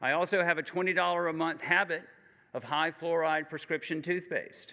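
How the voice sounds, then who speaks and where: With a Southern US accent, a man speaks at a fairly quick pace in a bright, sharp tone. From US South, Georgia. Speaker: cancer survivor speaker. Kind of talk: personal testimony speech. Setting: conference stage with audience. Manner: halting.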